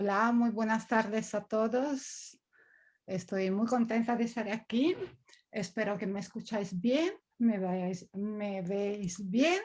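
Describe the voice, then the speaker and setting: This woman's fairly high voice moves at a very slow pace, its pitch varying in an ordinary way. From Italy. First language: Italian (speaking Spanish). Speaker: coach. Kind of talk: talk. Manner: halting.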